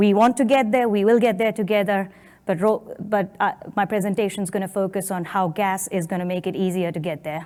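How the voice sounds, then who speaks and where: A woman is heard on a very clean recording with a silent background. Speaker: energy industry analyst presenting at a conference. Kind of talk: conference presentation. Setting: conference stage with audience. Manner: fast.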